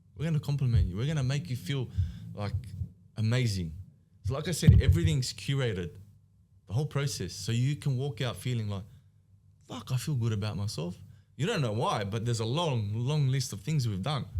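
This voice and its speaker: With an Australian accent, a man talks at a fairly quick pace and medium pitch, leaving long, frequent pauses. His voice is somewhat breathy and dark and mellow, with lively intonation. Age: 30s. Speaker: business founder. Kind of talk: podcast interview. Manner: animated.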